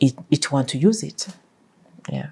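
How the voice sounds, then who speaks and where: Speaking at a fairly slow pace with a non-native accent, this voice has a dark, mellow tone. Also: woman. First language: not English. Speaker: life coach, podcast host. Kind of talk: interview answers.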